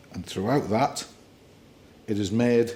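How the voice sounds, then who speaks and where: A man's fairly low voice with fairly even intonation, in a northern English accent. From northern England. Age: 60s. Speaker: bailiff. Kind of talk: interview.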